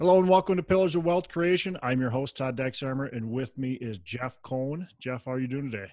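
Speaking at a fairly quick pace with hardly any pauses, a man's voice comes through dry with no echo. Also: medium pitch for a man, lively intonation, quiet background. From Minnesota. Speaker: podcast host. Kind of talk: casual interview. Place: home room. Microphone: earbuds.

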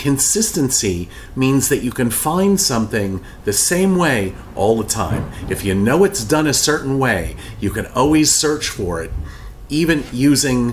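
Over light background noise, a man talks at a fairly slow pace with very wide pitch swings. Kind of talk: tutorial. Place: office.

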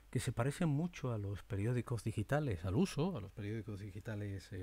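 A somewhat breathy male voice with very wide pitch swings and a moderate pace. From Spain. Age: 50s. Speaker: media presenter; former TV newsreader, podcaster. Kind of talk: monologue; casual monologue, thinking aloud. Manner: animated; halting. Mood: reflective, sometimes sad. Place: home room. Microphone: studio mic.

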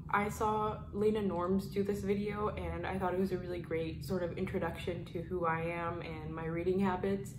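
Noticeable background noise sits under this woman's voice. She talks at a moderate pace with medium pitch and fairly even intonation. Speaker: booktuber. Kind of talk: casual talk to camera. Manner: soft-spoken. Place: home room.

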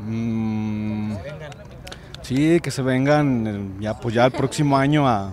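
Recorded with a dry sound with no echo and light background noise, a man speaks with ordinary pitch variation. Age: 20s. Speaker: passion play actor. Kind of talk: casual interview. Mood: earnest, grateful. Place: street. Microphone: handheld.

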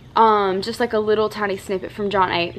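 A woman talks with lively intonation at a moderate pace. Light background noise can be heard. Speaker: lifestyle vlogger. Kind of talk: casual vlog chat. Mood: warm, grateful, emotional. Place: garden. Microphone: phone near.

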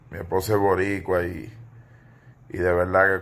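A man speaks at a moderate pace in a very deep, low pitch. His delivery is monotone and flat. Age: 40s. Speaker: entertainment gossip commentator. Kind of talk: casual video commentary monologue. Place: home room. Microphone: phone near.

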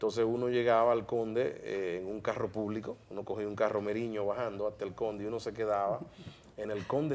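A man's fairly low-pitched voice at a very fast pace. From Dominican Republic, San Pedro de Macorís; Dominican Republic. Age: 50s. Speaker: broadcaster and media commentator; TV interview guest. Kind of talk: interview. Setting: studio. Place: studio. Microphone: lapel.

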